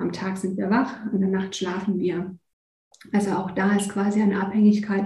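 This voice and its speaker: A woman speaks in a somewhat breathy voice at a medium pitch with a dark, mellow tone. Room echo is audible. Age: 40s. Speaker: nature and energy coach. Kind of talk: interview.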